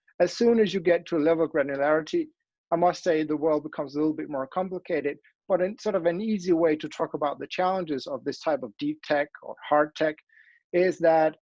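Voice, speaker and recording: The speaker talks at a fairly quick pace. There is a Danish accent. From Denmark. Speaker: academic. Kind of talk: conference talk with slides. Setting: online event. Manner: halting, many fillers and restarts.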